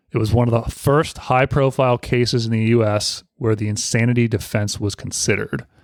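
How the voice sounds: Heard here is a natural reading voice with fairly even intonation.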